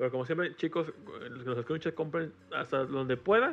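With a Mexican accent, a man talks at a fairly quick pace in an animated tone, his pitch varying in an ordinary way. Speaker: podcast guest. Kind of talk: casual chat.

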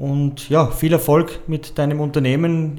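This man has a fairly high voice. His intonation is monotone and flat. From Vienna. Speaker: podcast host. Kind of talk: casual interview.

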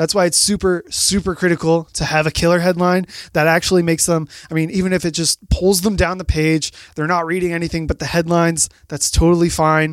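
Energetic in tone, a man talks at a fairly quick pace and a high pitch. The sound is dry and close, with no echo. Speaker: marketing guest expert. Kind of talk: casual chat. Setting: studio.

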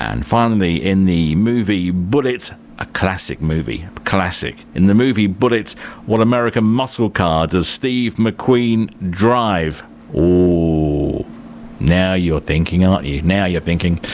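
A man speaks at a fairly slow pace in a warm tone and a very deep, low pitch. His intonation is lively over noticeable background noise. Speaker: radio host. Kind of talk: radio DJ patter, relaxed friendly presenter chat introducing tracks and plugging the show. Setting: radio studio. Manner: easygoing; warm, conversational, unhurried.

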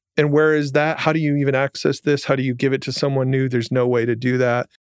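A man with an American accent speaks in a normal speaking voice at medium pitch, his intonation fairly even and the sound dry and close with no echo. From Michigan, Jackson. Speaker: startup founder and CEO. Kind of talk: interview.

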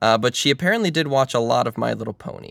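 A man with an ordinary speaking voice talks at a medium pitch with ordinary pitch variation, in a dry, close sound with no echo. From Maryland, US. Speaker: podcast host. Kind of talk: casual chat.

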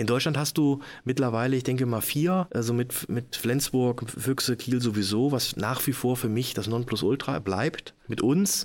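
A man's plain, everyday voice at medium pitch, with ordinary pitch variation, very even loudness and a moderate pace, on a very clean recording with a silent background. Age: 50s. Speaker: handball club managing director. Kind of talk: casual interview.

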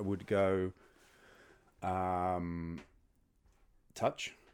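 Speech at a very slow pace, on a very clean recording against a silent background. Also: man. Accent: London. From London. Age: 40s. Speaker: podcast guest on dating. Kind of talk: casual interview. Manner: halting.

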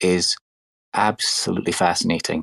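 In a Scottish accent, a man with a very deep, low voice speaks in a dry, close sound with no echo. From Scotland. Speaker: NFT collector. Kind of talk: casual chat.

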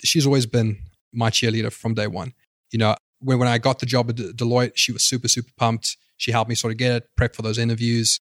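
A man talks very fast at a medium pitch, in a monotone, flat delivery. The recording is very clean with a silent background, and the sound is dry and close with no echo. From South Africa. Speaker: startup customer success head. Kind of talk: interview.

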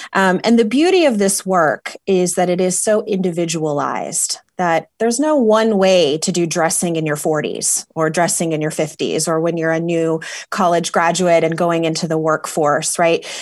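A woman with a fairly low voice and a warm, enthusiastic tone talks at a moderate pace with ordinary pitch movement and hardly any pauses. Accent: American. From Dallas, Texas. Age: 40s. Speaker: stylist and fundraising consultant. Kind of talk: casual interview chat.

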